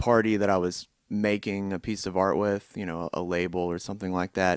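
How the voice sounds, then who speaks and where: In a very clean recording with a silent background, a man speaks with a Tennessee accent. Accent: US Southern (Tennessee). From Tennessee (Tullahoma, middle Tennessee). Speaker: musician. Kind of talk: interview.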